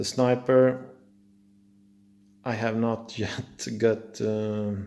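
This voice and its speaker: This man has a fairly low pitch. He speaks with a Swedish accent. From Sweden. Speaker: car hobbyist. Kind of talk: casual video walkthrough. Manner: halting, many fillers.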